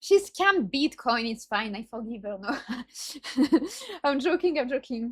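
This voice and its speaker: A woman with a strong non-native accent speaks at a high pitch and a fairly slow pace. Her intonation is lively, with big swings in loudness. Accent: self-described strong non-native. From France. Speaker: streamer reacting to videos. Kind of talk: casual reaction commentary. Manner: halting, self-correcting.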